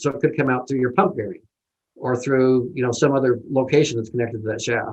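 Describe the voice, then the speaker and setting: A man's medium-pitched voice at a very fast pace. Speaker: engineer presenter. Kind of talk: webinar presentation.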